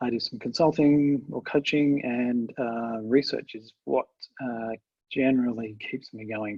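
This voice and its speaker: Speaking with an Australian accent, a man keeps a medium pitch, a fairly slow pace and fairly even intonation. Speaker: agile trainer and researcher. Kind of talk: webinar presentation. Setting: video call webinar. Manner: halting, many fillers.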